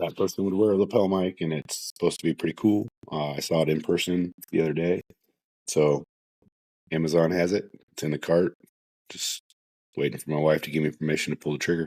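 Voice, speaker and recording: Mumbling at a fairly quick pace with long, frequent pauses, a man with a very deep, low pitch and a dark, mellow tone keeps a fairly even intonation in a dry, close sound with no echo. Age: 40s. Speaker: podcast host, first responder. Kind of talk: solo podcast monologue. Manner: casual, conversational.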